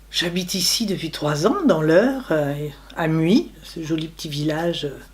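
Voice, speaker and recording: A woman with a fairly low pitch speaks at a fairly slow pace with lively intonation. Noticeable background noise and audible room echo fill the recording. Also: big swings in loudness. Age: 60s. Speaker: retiree. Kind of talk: interview testimony.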